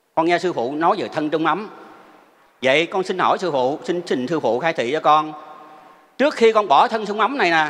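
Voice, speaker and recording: At a moderate pace broken by long, frequent pauses, a man speaks in a high pitch with lively intonation. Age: 70s. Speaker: Buddhist lay practitioner. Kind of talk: testimony. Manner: formal.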